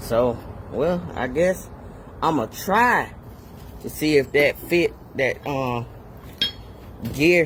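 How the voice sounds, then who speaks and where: Noticeable background noise surrounds a man with a fairly high pitch and lively intonation. He talks at a very slow pace with long, frequent pauses. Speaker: DIY mechanic. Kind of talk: tutorial. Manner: casual.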